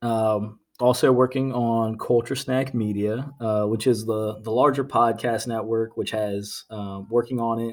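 In a very clean recording with a silent background, a man with an American accent speaks at a fairly slow pace, medium pitch and monotone, flat intonation. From Virginia (Norfolk). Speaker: podcast host. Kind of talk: casual chat.

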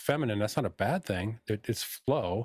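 Recorded very cleanly against a silent background with a dry, close sound and no echo, a man with a fairly low pitch and a plain, everyday voice speaks at a moderate pace. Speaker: spiritual healer. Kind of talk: casual chat.

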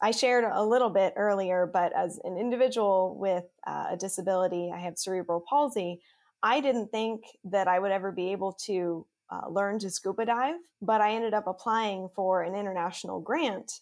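In a very clean recording with a silent background, a woman with a normal speaking voice and a medium pitch talks at a fairly quick pace. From Pennsylvania. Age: 20s. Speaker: city council member and nonprofit director. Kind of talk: interview.

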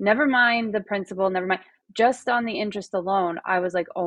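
A woman with a normal speaking voice at medium pitch, moderate pace and ordinary pitch variation. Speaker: podcast host. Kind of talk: interview.

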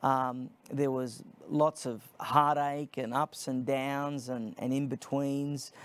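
This man has an Australian accent and a flat, monotone delivery. He talks at a very slow pace. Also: fairly high pitch for a man, very clean recording, silent background. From Australia (Sydney). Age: 30s. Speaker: nonprofit founder, political commentator. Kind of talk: interview.

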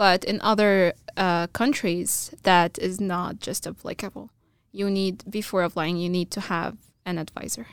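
A woman with an Arabic accent speaks at a fairly slow pace. Her intonation is fairly even, and the recording is very clean with a silent background. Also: medium pitch for a woman. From Egypt, small town. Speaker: computer science graduate student. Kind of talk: casual interview chat. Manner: halting, many fillers.

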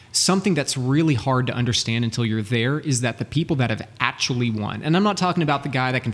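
With an American accent, a man talks very fast at a medium pitch with ordinary pitch variation. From Texas, Dallas. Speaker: sales and business coach. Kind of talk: interview.

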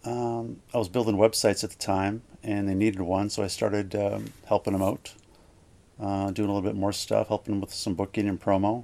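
A man with a Canadian Prairie accent, fairly low in pitch, at a moderate pace. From Manitoba, Canada (Gimli). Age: 50s. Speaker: record label owner. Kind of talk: casual interview.

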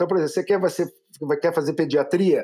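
With a dark, mellow tone, a man's voice sits high in pitch. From interior of São Paulo state, Brazil. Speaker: physician and entrepreneur. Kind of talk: casual interview.

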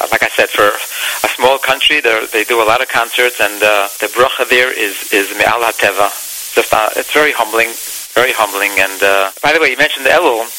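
There is noticeable background noise as a man with a medium pitch speaks at a fairly quick pace. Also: ordinary pitch variation. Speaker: singer. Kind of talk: interview.

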